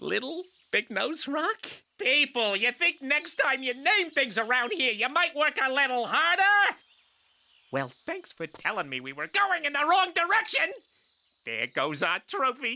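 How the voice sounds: In a cartoonish character voice, the speaker talks at a moderate pace with a high pitch.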